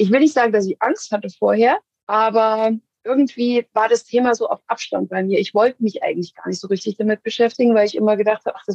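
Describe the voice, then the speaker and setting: Talking at a fairly quick pace, a woman with an unremarkable speaking voice and fairly high pitch keeps a fairly even intonation in a dry, close sound with no echo. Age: 40s. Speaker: executive assistant. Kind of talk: interview.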